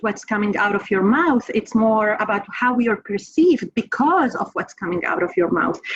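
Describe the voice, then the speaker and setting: A woman with a non-native accent. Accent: foreign. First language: not English. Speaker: professor. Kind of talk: panel discussion.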